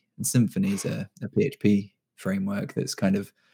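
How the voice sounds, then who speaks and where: A man with a British accent speaks with a fairly low pitch. His tone is dark and mellow. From UK. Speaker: freelance web developer. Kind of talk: casual chat.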